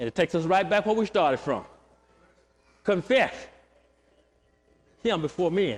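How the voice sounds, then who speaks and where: A loud man with a high pitch uses lively intonation at a moderate pace, leaving long, frequent pauses. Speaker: pastor. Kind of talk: sermon. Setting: church.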